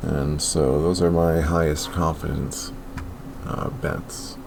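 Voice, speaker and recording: A man's very deep, low voice amid noticeable background noise and audible room echo. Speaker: sports betting youtuber. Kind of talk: casual monologue. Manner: slow.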